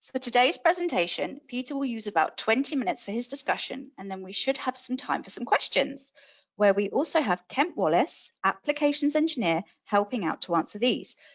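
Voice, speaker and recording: With a British accent, a woman talks at a fairly quick pace in a high pitch. Her pitch swings very widely. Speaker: webinar host. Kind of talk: scripted webinar introduction. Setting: webinar.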